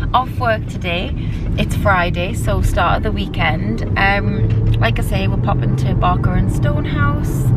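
Loud background noise surrounds a woman speaking at a fairly slow pace. The sound is dry, with no echo. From northeast England. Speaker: lifestyle vlogger. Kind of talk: casual vlog talk to camera. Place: car. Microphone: phone near.

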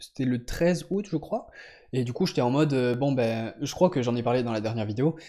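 Fairly quick speech from a man with a dark, mellow tone and ordinary pitch variation, over a quiet background. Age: 20s. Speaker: powerlifter vlogger. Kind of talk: casual vlog update. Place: home room. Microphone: studio mic.

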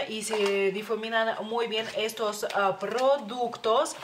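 A woman's fairly high-pitched voice with fairly even intonation amid noticeable background noise. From Lithuania. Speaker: beauty youtuber; beauty vlogger. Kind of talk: product review. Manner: halting, many fillers. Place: home room. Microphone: phone near.

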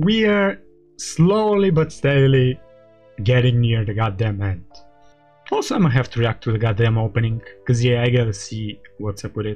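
A man speaks at a moderate pace with long, frequent pauses. Faint music plays in the background. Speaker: anime reaction streamer. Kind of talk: casual vlog chat. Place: home room. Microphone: studio mic.

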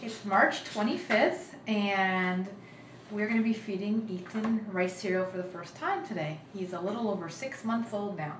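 There is audible room echo and light background noise. A woman speaks at a fairly slow pace with ordinary pitch variation. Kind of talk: casual home video narration and talk to baby. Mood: gentle, amused. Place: home room.

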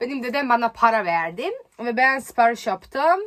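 A woman's bright, sharp tone with a non-native accent. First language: not Turkish (speaking Turkish). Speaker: YouTuber. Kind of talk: vlog.

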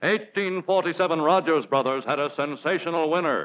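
A man speaks in an upbeat tone at a fairly high pitch. His pace is fairly slow and his pitch moves in an ordinary way. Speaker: commercial narrator. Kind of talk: 1941 trade-film commercial narration, sales pitch to dealers. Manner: formal, polished announcer delivery, authoritative and upbeat, brisk. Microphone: old recording.

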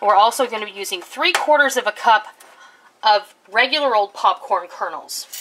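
Against light background noise, a woman speaks at a moderate pace with lively intonation and big swings in loudness. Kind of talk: tutorial. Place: kitchen.

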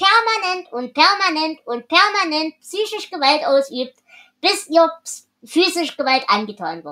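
Her voice is raised and projected, with lively intonation. The woman speaks at a fairly slow pace. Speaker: podcast host. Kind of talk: casual book discussion.

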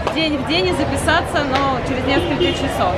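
With music in the background, a woman speaks at a moderate pace. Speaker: travel vlogger. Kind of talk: casual vlog chat. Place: shop. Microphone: phone near.

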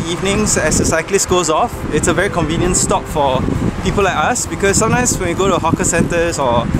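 A man speaks fairly quickly amid loud background noise, in a dry sound with no echo. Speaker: vlogger. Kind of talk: casual vlog chat. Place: bicycle. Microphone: phone near.

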